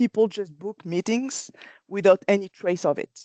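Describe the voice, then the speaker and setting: A woman with a French accent and a dark, mellow tone speaks at medium pitch and a moderate pace, in a dry, close sound with no echo. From France. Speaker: company presenter. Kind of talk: webinar presentation. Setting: online webinar. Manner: hesitant, with fillers and restarts.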